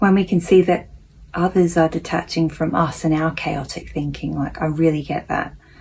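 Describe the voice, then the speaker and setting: A woman speaks at a moderate pace with a fairly low pitch. Her intonation is fairly even, with vocal fry. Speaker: self-help vlogger reading a daily lesson. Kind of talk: reading aloud with personal reflection. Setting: at home, housemate napping next room. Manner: soft-spoken, quieter than usual.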